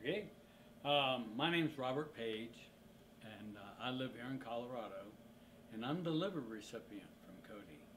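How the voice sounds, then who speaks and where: A man's medium-pitched voice with lively intonation, big swings in loudness, and a moderate pace broken by long, frequent pauses, with audible room echo and noticeable background noise. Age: 50s. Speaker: organ transplant recipient. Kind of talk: interview testimony.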